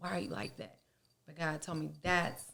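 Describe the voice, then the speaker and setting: Her voice is fairly low-pitched with vocal fry, and this woman speaks in an animated tone. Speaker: beauty business owner, podcast guest. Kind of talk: casual interview chat. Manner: loud; blunt, animated.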